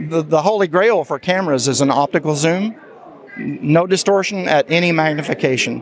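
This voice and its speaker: A man's fairly high voice at a fairly quick pace, with ordinary pitch variation and noticeable background noise. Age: 70s. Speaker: assistive software developer. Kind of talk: product demo interview.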